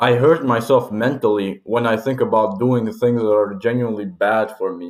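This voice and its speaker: A man speaks at a moderate pace with a medium pitch and a plain, everyday voice. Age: 20s. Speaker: vlogger. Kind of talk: personal reflection monologue. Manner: casual, informal.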